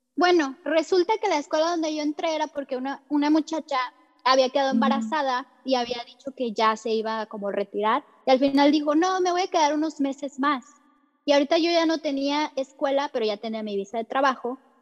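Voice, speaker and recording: The voice comes through dry and close, with no echo. It moves at a fairly quick pace with ordinary pitch variation. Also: woman, high pitch for a woman. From Mexico. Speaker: English teacher. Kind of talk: personal testimony. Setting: hotel room in quarantine.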